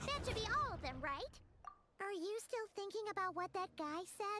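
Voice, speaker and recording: This put-on character voice sits at an extremely high pitch. It moves at a moderate pace. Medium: video game. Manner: excitable, fast.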